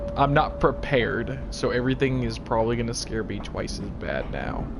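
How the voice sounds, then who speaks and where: Noticeable background noise and audible room echo fill this clip. A man talks at a moderate pace. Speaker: gaming streamer. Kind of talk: live gameplay commentary.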